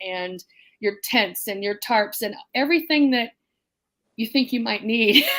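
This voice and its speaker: A woman with a fairly high pitch and ordinary pitch variation talks at a moderate pace in an unremarkable speaking voice, in a very clean recording with a silent background. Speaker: prepping YouTuber in an apartment. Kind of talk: panel discussion on livestream.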